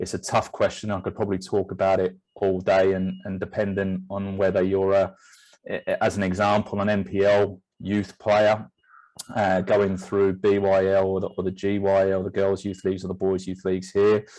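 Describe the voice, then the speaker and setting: In a monotone, flat delivery, a man speaks at a fairly low pitch against a quiet background. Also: moderate pace. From England; Northeast, then Stevenage. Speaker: football technical director. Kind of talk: interview. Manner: halting, many fillers and repeats.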